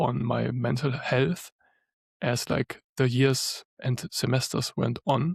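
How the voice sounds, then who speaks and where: Vocal fry marks a man's medium-pitched voice at a fairly slow pace. The sound is dry and close with no echo, in a very clean recording with a silent background. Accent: German. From Germany. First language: German. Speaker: lawyer and spiritual coach. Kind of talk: podcast interview.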